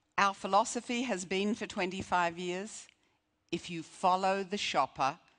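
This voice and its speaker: Against a quiet background, a woman talks with an American accent. She speaks at a fairly slow pace. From Australia. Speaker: retail strategist, keynote speaker. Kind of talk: conference keynote speech.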